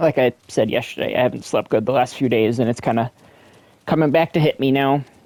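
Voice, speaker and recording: This man mumbles at a medium pitch with fairly even intonation and very even loudness. The sound is dry and close, with no echo. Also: fairly quick pace. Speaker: gamer streamer. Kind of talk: gameplay commentary. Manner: mumbling.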